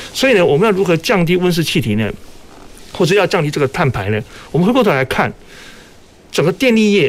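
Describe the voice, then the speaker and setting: A man talks at a very fast pace yet with long, frequent pauses, his high voice swinging very widely in pitch. His loudness stays very even over noticeable background noise. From Taiwan, Kaohsiung. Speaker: power utility executive. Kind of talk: radio panel discussion. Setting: radio studio, live broadcast.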